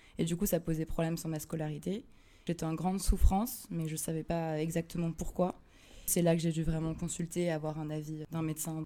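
Her voice is fairly low-pitched, with a dark, mellow tone. The woman moves at a fairly quick pace with monotone, flat intonation. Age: 20s. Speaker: theology student sharing mental health experience. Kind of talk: personal testimony. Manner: halting, with frequent hesitations.

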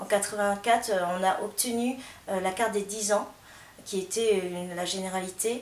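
A woman at a medium pitch, fairly slow and fairly even in intonation, with audible room echo and noticeable background noise. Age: 40s. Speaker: marcher at a protest. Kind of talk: street interview.

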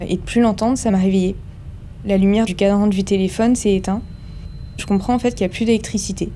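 A woman at a fairly quick pace, monotone and flat in intonation, over noticeable background noise. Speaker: ship nurse. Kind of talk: testimony.

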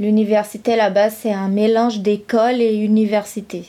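A woman with a Brazilian accent speaks in a fairly high pitch with a dark, mellow tone and monotone, flat intonation. The recording is very clean, with a silent background. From Brazil, São Paulo state (São Carlos). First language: Brazilian Portuguese (speaking French). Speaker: visual and performance artist. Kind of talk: interview testimony.

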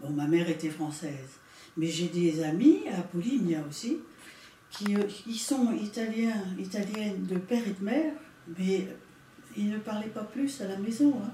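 A woman speaks at a fairly slow pace with lively intonation and long, frequent pauses. Room echo is audible. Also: medium pitch for a woman. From France (Paris region). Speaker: witness, daughter of Italian immigrant. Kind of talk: testimony. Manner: hesitant, conversational.

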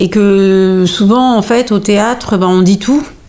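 This woman's intonation stays fairly even, and noticeable background noise runs beneath her voice. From Normandy (Pays de Caux) with Malian heritage. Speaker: playwright and stage director. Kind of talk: interview.

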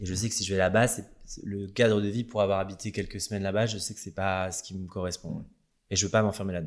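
On a very clean recording with a silent background, a man talks very fast in a fairly low pitch with monotone, flat intonation. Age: 30s. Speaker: hairdresser and influencer. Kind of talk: casual interview.

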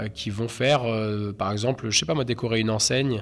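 With ordinary pitch variation, this man talks at a moderate tempo in a medium pitch. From Normandy, Caen. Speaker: street artist. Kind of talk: interview. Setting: indoors in venue corridors. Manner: halting, many hesitations.

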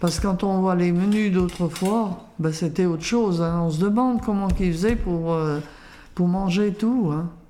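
At a fairly slow pace, a woman speaks in a dark, mellow tone at a medium pitch, with ordinary pitch variation, very even loudness and audible room echo. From France, Lyon region. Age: 80s+. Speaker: grandmother and home cook. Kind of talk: casual interview. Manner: halting.

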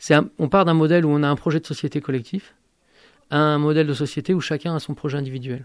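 A fairly high male voice, very fast and fairly even in intonation, over a quiet background. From born in Algeria. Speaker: university math lecturer and activist. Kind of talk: radio interview. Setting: radio studio, live.

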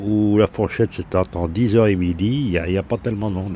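Fairly even intonation marks an ordinary speaking voice. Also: man. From Lyon, France. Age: 60s. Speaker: retiree, bath-house user. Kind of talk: interview.

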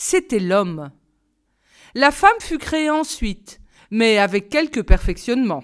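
At a very slow pace with long, frequent pauses, a woman speaks at a fairly high pitch with very wide pitch swings, on a very clean recording with a silent background. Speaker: audiobook reader. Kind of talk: storytelling, reading aloud a folk tale. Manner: measured narrative pace, calm storyteller tone; formal, clear diction.

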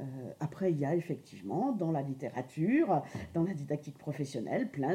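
The voice is somewhat breathy, with a dark, mellow tone and lively intonation. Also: woman. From Lorraine, France. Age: 50s. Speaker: adult education trainer. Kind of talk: interview. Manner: hesitant, many fillers.

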